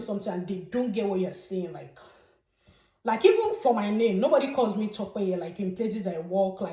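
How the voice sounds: Ordinary pitch variation and a moderate pace mark this speaker, who has a Nigerian accent. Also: woman.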